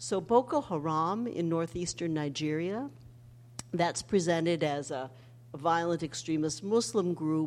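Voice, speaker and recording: Fairly low for a woman, her plain, everyday voice moves at a fairly slow pace with lively intonation. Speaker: history professor and author. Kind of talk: public talk. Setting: stage with audience.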